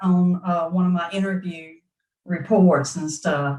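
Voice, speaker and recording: A somewhat breathy woman at a medium pitch, in a Southern US accent, at a fairly slow pace with ordinary pitch variation. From US South. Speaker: produce buyer. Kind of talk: interview conversation.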